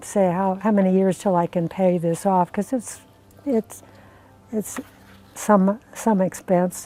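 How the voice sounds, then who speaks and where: Music plays in the background. The speech is fairly slow with fairly even intonation. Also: woman. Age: 80s+. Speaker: solar customer. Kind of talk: customer testimonial interview. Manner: hesitant, conversational.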